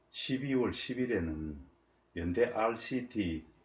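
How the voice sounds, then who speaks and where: A man with a somewhat breathy voice talks very slowly, his intonation lively. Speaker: military veteran. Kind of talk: personal memoir narration.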